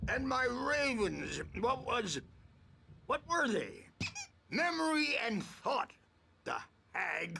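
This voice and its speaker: Putting on a character voice at an extremely high pitch, a man speaks at a very slow pace with long, frequent pauses. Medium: video game. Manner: wry, cackling.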